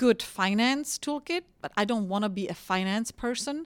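A woman with a Czech accent, recorded very cleanly against a silent background, with a dry, close sound and no echo. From Czech Republic, rural village. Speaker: energy executive. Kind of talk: interview.

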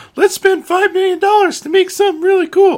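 A man performs a put-on character voice at an extremely high pitch. His intonation is monotone and flat. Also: moderate pace. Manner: cheerful, enthusiastic.

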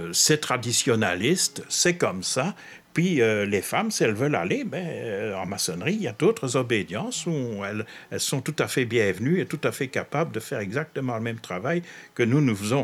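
In a very clean recording with a silent background, a man at medium pitch talks at a moderate pace, his pitch swinging very widely. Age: 70s. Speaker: author and freemason. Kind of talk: interview.

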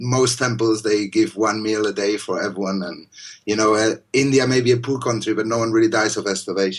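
Fairly even intonation at a moderate pace, in a Spanish accent. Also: man. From Spain. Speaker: poet. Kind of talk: casual interview conversation.

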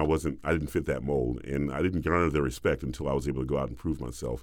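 In a very clean recording with a silent background, a man with an American accent speaks with vocal fry and ordinary pitch variation. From US South. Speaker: opera bass singer, former football player. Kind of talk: interview conversation.

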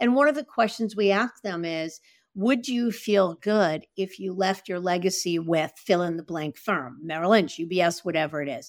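Recorded very cleanly against a silent background, a woman has an ordinary speaking voice at medium pitch, with a moderate pace and lively intonation. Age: 60s. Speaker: podcast host and advisor recruiter. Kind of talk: interview.

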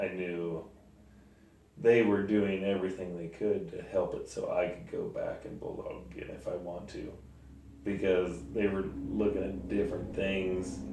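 In a US Midwest accent, the speech moves at a moderate pace with big swings in loudness and audible room echo. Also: man. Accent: rural US Midwest. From Sand Hills, Nebraska. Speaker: rodeo bulldogger. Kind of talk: casual interview.

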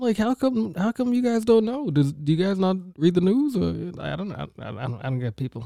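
The voice has a dark, mellow tone and very wide pitch swings. Its loudness also swings widely. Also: man, high pitch for a man, fairly quick pace, hardly any pauses. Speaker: hip-hop podcast co-host. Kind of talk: casual chat. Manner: talkative.

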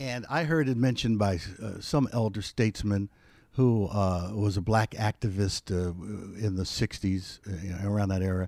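In a very clean recording with a silent background and a dry, close sound with no echo, a man with a fairly low pitch and an American accent speaks at a fairly slow pace in an ordinary speaking voice. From US Northeast, West Philadelphia. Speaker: retired TV weatherman, podcaster. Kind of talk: casual interview.

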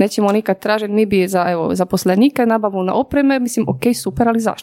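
Talking very fast with a Polish accent, a woman has a fairly high pitch, ordinary pitch variation and a dark, mellow tone. The sound is dry and close with no echo. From Poland. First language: Polish (speaking Croatian). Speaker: business consultant. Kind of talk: interview.

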